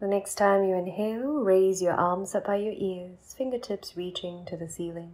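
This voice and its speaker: With hardly any pauses, a woman talks in a plain, everyday voice at medium pitch and ordinary pitch variation. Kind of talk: guided meditation. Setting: bedtime, guiding listener alone in bed. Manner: slow, soothing, unhurried; soft-spoken, calm, with long pauses.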